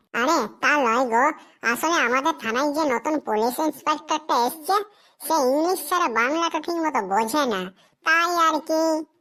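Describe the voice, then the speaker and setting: In a cartoonish character voice, a woman talks at high pitch and a moderate pace, her loudness very even and her pitch variation ordinary. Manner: nervous, bumbling.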